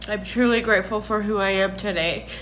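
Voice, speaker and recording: A woman speaking very slowly in a flat monotone, with audible room echo. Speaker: recovering addict sharing personal story. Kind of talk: personal testimony vlog.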